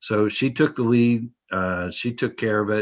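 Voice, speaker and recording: Fairly even intonation and a moderate pace stand out against a quiet background. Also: man. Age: 60s. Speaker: transit contractor manager. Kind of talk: committee meeting report. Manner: halting, many fillers.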